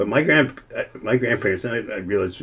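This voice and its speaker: The pace is fairly quick. A man does the talking. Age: 60s. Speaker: lawyer and drummer, podcast guest. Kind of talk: casual chat. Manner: halting, many repetitions.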